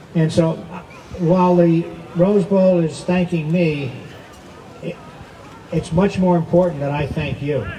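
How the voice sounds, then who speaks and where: Recorded with audible room echo and noticeable background noise, a man speaks at a high pitch. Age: 80s+. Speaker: masters diver being honored. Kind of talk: dedication speech. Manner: halting.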